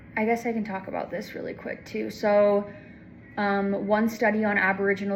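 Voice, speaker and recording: With audible room echo, a woman talks at medium pitch and a fairly slow pace in a monotone, flat intonation. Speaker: student giving a class presentation. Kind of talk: class presentation. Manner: halting with many fillers.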